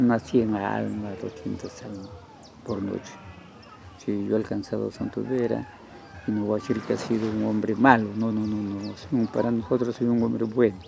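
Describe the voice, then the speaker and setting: A man's fairly low voice at a moderate pace with fairly even intonation, music playing in the background. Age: 70s. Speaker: local elder. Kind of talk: interview. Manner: halting.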